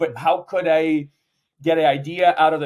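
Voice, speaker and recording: A man speaks at a moderate pace with a Portuguese accent. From Brazil. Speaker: startup founder and CEO. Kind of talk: interview. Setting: conference.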